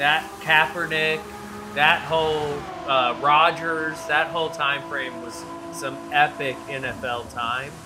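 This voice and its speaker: A man with an American accent speaks at a very slow pace in a fairly high pitch, his loudness swinging widely, with audible room echo and music in the background. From southeastern US. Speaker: sim racing stream host. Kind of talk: casual chat. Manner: animated.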